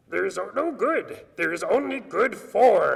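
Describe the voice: Fairly slow pace from a man in a put-on character voice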